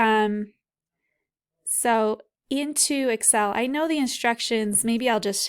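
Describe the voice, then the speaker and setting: A woman's fairly high voice, very slow with long, frequent pauses, ordinary pitch variation and very even loudness, on a very clean recording with a silent background. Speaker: physics professor. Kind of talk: tutorial. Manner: casual.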